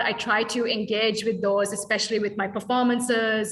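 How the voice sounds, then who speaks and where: A woman's fairly high voice rushes along at a very fast pace with audible room echo. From Sri Lanka. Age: 30s. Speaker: dance artist. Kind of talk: workshop Q&A. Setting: video call.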